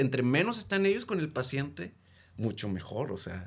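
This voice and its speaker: This is a man speaking. His pace is moderate. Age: 30s. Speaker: addiction counselor. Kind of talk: casual chat.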